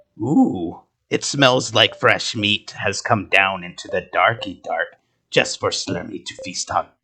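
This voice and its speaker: Using a put-on character voice, a man speaks in a raspy tone at a fairly slow pace. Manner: gloating, playful.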